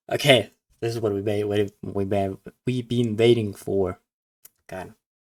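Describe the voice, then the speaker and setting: With a non-native accent, a man speaks in a fairly low, flat monotone. The sound is dry and close, with no echo. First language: not English. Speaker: card game commentator. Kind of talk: live game commentary reaction. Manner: halting.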